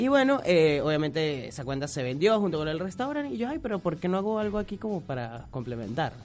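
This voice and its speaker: A man talks at a very fast pace with hardly any pauses. His fairly high pitch makes very wide swings. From Venezuela. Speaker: social media humorist. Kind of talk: radio interview.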